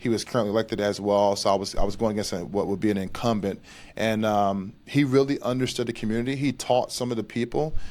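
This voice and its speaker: On a very clean recording with a silent background, a man speaks with an American accent. He has an ordinary speaking voice, fairly even intonation, and a fairly quick pace. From North Carolina. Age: 30s. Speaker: veteran advocate. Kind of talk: interview.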